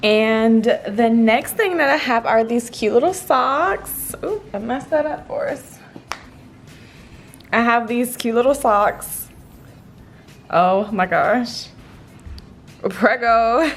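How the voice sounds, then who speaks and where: Long, frequent pauses break up very slow speech, and noticeable background noise is present. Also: woman, fairly high pitch for a woman, ordinary pitch variation. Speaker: fitness influencer. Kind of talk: product unboxing vlog. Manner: animated.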